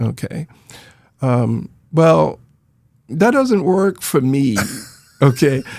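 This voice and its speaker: At a very slow pace, the speaker uses lively intonation broken by long, frequent pauses. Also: man, fairly high pitch for a man. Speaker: Vietnam veteran, nonprofit founder. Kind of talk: interview storytelling. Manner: soft-spoken.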